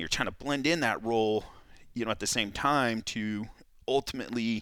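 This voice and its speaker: Using a General American accent, a man with an unremarkable speaking voice talks at a moderate pace and medium pitch with ordinary pitch variation, recorded very cleanly against a silent background. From California. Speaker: cutman and firefighter. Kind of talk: casual chat.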